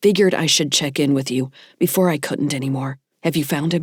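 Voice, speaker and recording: Someone puts on a growling character voice at a low-to-middle pitch and a fairly quick pace, on a very clean recording with a silent background. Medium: read story. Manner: flat, emotionless.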